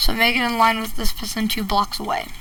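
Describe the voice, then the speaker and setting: A woman's fairly high voice shows ordinary pitch variation as noticeable background noise plays beneath it. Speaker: Minecraft redstone tutorial creator. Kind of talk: tutorial. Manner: casual, halting with fillers.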